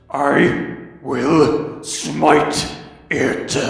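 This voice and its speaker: A man's put-on character voice, fairly high in pitch, with strong echo. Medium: solo performance. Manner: pompous, repetitive.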